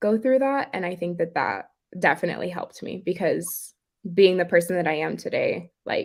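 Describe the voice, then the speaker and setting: A woman with a medium-pitched voice and ordinary pitch variation speaks at a moderate pace in an unremarkable speaking voice, on a very clean recording with a silent background. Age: 20s. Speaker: dance teacher and pageant titleholder. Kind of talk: interview.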